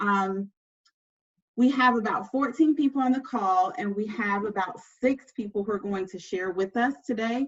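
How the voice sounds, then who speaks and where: The speaker's somewhat breathy voice moves at a moderate pace with ordinary pitch variation. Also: woman, fairly high pitch for a woman. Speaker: educator and webinar host. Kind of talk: virtual workshop hosting. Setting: video call.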